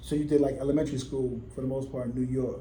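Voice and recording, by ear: A man with a medium-pitched voice and a dark, mellow tone speaks with fairly even intonation in a room with audible echo.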